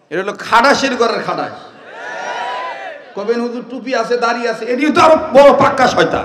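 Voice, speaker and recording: Extremely high pitch from a man, with ordinary pitch variation and noticeable background noise. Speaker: Islamic preacher. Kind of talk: humorous religious sermon. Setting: outdoor gathering.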